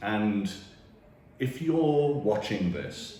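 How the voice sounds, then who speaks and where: A man with a British accent speaks with very wide pitch swings, with audible room echo and noticeable background noise. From UK. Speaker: financial planner. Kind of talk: direct-to-camera talk.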